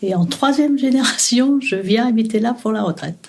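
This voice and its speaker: Her voice fairly high-pitched, dark and mellow, and somewhat breathy, a woman speaks at a fairly slow pace with lively intonation. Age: 60s. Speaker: retiree interviewed about memories. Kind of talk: interview. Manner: hesitant, many fillers.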